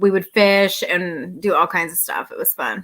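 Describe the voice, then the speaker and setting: Loud and bright with a sharp tone, a woman speaks at a medium pitch with an American accent. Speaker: outdoor YouTuber. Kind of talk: live stream Q&A chat. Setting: live stream at home near router.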